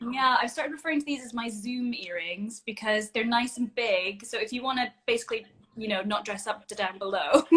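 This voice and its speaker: A woman's fairly high, bright, sharp voice with a Scottish accent, fairly quick with hardly any pauses, ordinary pitch variation, and big swings in loudness. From Scotland. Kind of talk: casual chat. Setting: video call.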